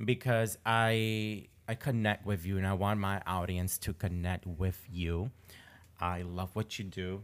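On a very clean recording with a silent background, a man uses a plain, everyday voice at a fairly low pitch. His pace is fairly slow and his intonation fairly even. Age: 20s. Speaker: podcast host. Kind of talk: casual interview chat.

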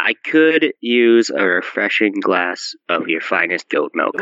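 In a put-on character voice, a man speaks at a fairly slow pace with a medium pitch. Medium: actual play. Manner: formal, deliberate.

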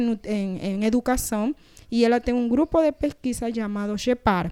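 A woman speaks at a moderate pace with a fairly high pitch and a dark, mellow tone. The sound is dry and close, with no echo. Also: very clean recording, silent background. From Panama. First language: Spanish (speaking Portuguese). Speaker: nutritionist. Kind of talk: interview.

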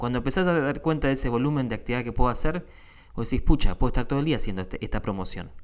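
With a Rioplatense accent, a man speaks with lively intonation on a very clean recording with a silent background. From Argentina. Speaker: podcast host. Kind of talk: casual monologue. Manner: halting, many fillers.

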